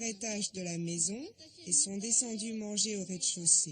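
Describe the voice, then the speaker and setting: A woman speaks at a fairly slow pace with a medium pitch, ordinary pitch variation and an unremarkable speaking voice. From Japan, Fuji Yoshida. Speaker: local resident. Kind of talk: interview.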